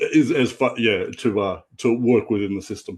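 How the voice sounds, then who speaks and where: A man speaks with an Australian accent at medium pitch. The background is quiet. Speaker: comic book artist. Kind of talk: casual interview chat.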